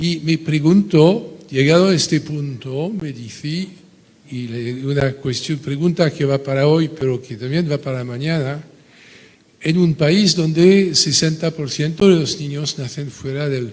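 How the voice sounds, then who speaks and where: Over noticeable background noise, a man speaks at a fairly slow pace with a fairly high pitch and ordinary pitch variation. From France. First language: French (speaking Spanish). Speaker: audience member asking a question. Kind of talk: conference Q&A question. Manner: halting.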